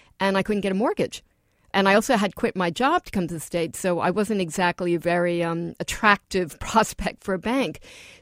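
A woman with an American accent and an ordinary speaking voice, medium pitch with ordinary pitch variation, a fairly quick pace, and a dry, close sound with no echo in a very clean recording with a silent background. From New York, Queens. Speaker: author and former foreign correspondent. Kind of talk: interview.

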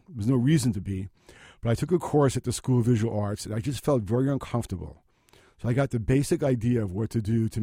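At a very fast pace, a man talks in a medium-pitched voice with a dark, mellow tone and ordinary pitch variation, captured in a very clean recording with a silent background. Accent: Brooklyn. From Brooklyn, New York City. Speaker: photographer. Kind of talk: interview.

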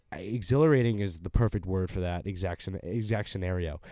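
The recording is very clean, and its background silent. Pitch variation is ordinary in a normal speaking voice. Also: man. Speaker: college podcast host. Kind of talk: casual roundtable discussion. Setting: studio.

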